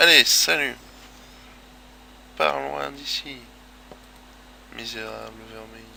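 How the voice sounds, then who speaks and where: A man speaks with long, frequent pauses. Room echo is audible. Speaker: gaming video creator. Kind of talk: gameplay commentary. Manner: casual, hesitant.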